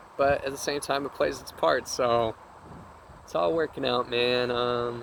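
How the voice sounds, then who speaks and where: A man at a medium pitch and a fairly slow pace. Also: ordinary pitch variation. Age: 20s. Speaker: spiritual vlogger. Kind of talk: spiritual monologue. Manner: animated.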